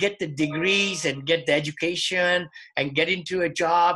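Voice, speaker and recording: Here a man speaks at a high pitch. His tone is bright and sharp. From India. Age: 60s. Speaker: real estate investor. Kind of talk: interview.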